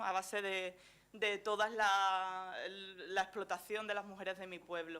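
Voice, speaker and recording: A woman speaks at a fairly slow pace in a medium pitch with monotone, flat intonation. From Andalusia, Chiclana de la Frontera (Cádiz). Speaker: journalist and gender specialist. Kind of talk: conference talk. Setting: lecture hall stage with audience. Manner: hesitant, many fillers.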